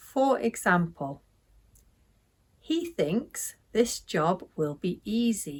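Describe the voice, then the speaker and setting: Speaking very slowly with a British accent, a woman uses a medium pitch that swings very widely. Her somewhat breathy voice breaks into long, frequent pauses. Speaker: English teacher. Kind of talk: language lesson to camera. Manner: slow, clear.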